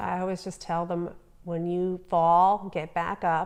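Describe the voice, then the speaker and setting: Against a quiet background, a woman with a New Jersey accent speaks in a fairly low pitch with monotone, flat intonation. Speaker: entrepreneur, business owner. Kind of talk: interview answer.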